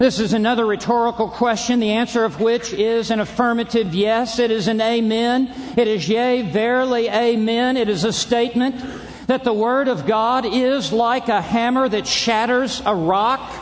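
Over noticeable background noise and audible room echo, a man with an extremely high pitch speaks at a moderate pace with fairly even intonation, very even loudness, and hardly any pauses. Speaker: preacher. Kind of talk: sermon. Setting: stage with audience. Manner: formal.

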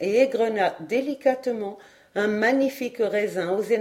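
The speaker uses a natural reading voice. It is heard throughout the clip.

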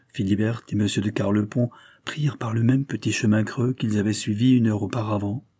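A natural voice reading aloud, intonation kept fairly even

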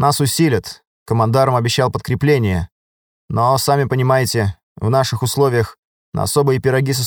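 The background stays quiet. Over it comes reading aloud in a natural voice, the intonation fairly even.

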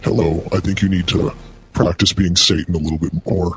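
Music plays behind a man with a very deep, low pitch. He speaks at a fairly quick pace with fairly even intonation. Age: 40s. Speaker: prank call radio host. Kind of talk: prank phone call show. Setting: phone call.

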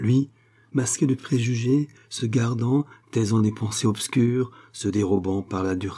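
Pitch shifts by an ordinary amount in this unforced reading voice.

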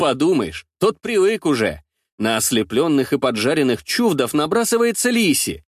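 Quiet background behind a natural reading voice

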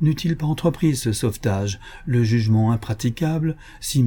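A passage is read out in a natural-sounding way.

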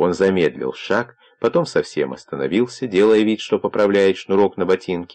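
The pitch moves in an ordinary way. This is plain reading aloud.

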